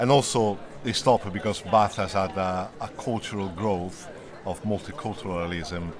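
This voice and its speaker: With an Italian accent and a fairly low pitch, a man speaks at a moderate pace amid audible room echo. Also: ordinary pitch variation. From Italy. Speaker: interviewee, long-time resident. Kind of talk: interview.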